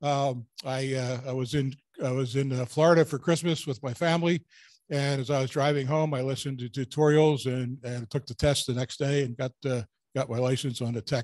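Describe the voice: At a moderate pace, a man speaks with a medium pitch, fairly even intonation and a slightly mellow tone.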